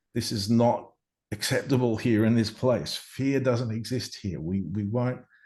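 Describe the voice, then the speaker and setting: In an Australian accent, a man with a dark, mellow tone speaks at a moderate pace with ordinary pitch variation over a quiet background. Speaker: near-death experiencer. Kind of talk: interview answer.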